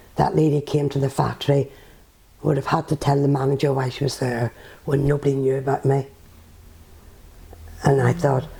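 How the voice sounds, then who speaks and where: A woman with a Northern Irish accent speaks at a moderate pace in a very deep, low voice. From Northern Ireland. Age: 70s. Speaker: author and former nurse. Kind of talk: interview answer.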